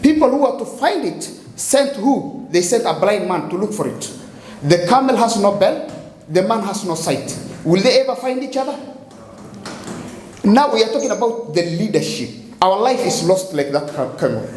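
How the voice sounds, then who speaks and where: In an African accent, a man with a high pitch and very wide pitch swings speaks at a moderate pace with long, frequent pauses, amid noticeable background noise and audible room echo. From Kenya. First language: Somali. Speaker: poet and playwright. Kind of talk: spoken-word performance with explanation. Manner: halting, repetitive.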